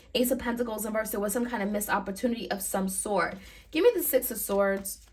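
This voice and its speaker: Audible room echo surrounds a woman speaking at a fairly quick pace in a fairly high pitch, her intonation fairly even. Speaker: tarot reader. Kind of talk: tarot reading. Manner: fast.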